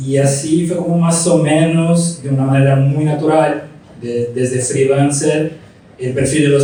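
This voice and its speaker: A man's fairly slow speech carries audible room echo, and noticeable background noise sits behind it. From Brazil. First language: Portuguese (speaking Spanish). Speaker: graphic designer, studio founder. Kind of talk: interview on stage. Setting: live talk with audience.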